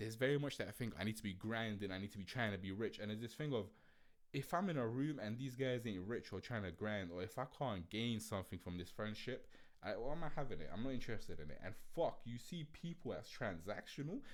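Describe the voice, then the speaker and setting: A man with an animated tone, lively intonation and a very fast pace, on a very clean recording with a silent background. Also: medium pitch for a man. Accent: London. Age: 20s. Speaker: podcast host. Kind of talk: casual monologue podcast.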